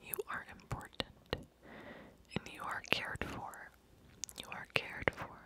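Whispering in a soft-spoken, gentle tone, a woman keeps a moderate pace on a dry recording with no echo but noticeable background noise. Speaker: ASMR creator. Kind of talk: soft-spoken ASMR affirmations. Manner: gentle whispered affirmations, very soft. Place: home room. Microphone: studio mic.

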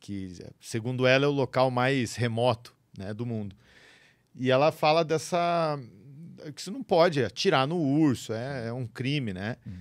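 A man speaks at a fairly slow pace with lively intonation. His loudness swings widely against a quiet background. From interior of Paraná, Brazil. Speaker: podcast host. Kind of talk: casual chat. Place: studio. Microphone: studio mic.

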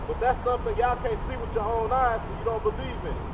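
Talking fairly quickly, a man is heard over noticeable background noise. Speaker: street preacher. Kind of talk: street preaching, fiery sermon-like rant with scripture quotes. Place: street.

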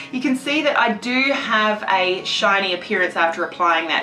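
A woman's voice at a moderate pace, with ordinary pitch variation and light background noise. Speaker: beauty vlogger. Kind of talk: tutorial.

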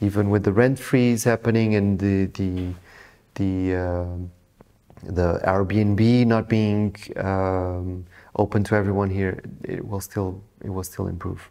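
Speaking very slowly with a Portuguese accent, a man uses a fairly low, dark and mellow voice in a monotone, flat intonation against a quiet background. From Portugal (Lisbon); Portugal. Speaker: real estate agent. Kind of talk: interview. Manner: halting. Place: office.

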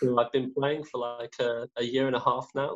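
A man speaks in a flat monotone against a quiet background. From English Midlands, Derby area; English Midlands. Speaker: research chemist; guest. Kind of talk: interview. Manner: halting. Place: home room. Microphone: video call.

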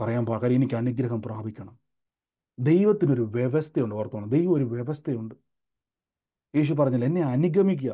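The man's tone is dark and mellow. His pitch is medium. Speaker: preacher leading online prayer meeting. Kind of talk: sermon and prayer. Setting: Zoom video call. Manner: fervent, repetitive declarations.

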